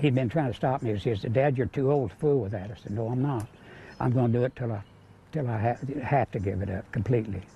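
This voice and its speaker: Somewhat breathy and dark, mellow in tone, a man with an American accent speaks at a fairly quick pace with ordinary pitch variation. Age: 80s+. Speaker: retired coal miner and pastor. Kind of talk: interview answer.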